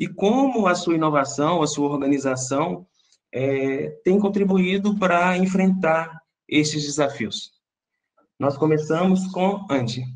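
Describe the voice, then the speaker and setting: Speaking at a very slow pace, a man with a Brazilian accent keeps his loudness very even. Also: ordinary pitch variation. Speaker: panel moderator. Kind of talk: panel discussion moderation. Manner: deliberately slow for interpreters; frequent filler 'é'.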